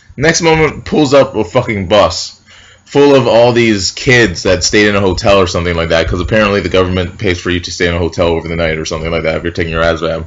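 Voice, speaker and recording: This man talks at a very fast pace with an American accent. His very deep, low voice carries lively intonation. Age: 20s. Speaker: military recruit vlogger. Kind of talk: casual vlog storytelling. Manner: loud; animated.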